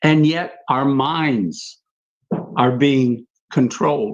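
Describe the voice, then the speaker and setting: A man talks very slowly. His pitch is fairly high. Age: 70s. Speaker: panelist. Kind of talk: livestream panel discussion. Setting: livestream.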